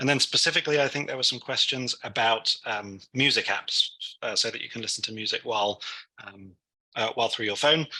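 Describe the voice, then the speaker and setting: Bright and sharp in tone, a man's voice moves at a fairly quick pace. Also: medium pitch for a man, ordinary pitch variation. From London, England. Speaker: technology instructor. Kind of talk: tutorial. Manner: hesitant, many fillers.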